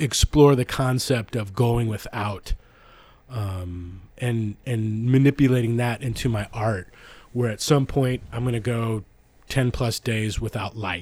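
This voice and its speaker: A somewhat breathy voice speaks at a fairly slow pace on a very clean recording with a silent background. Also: man. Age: 50s. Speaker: artist and filmmaker. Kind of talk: casual chat. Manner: animated.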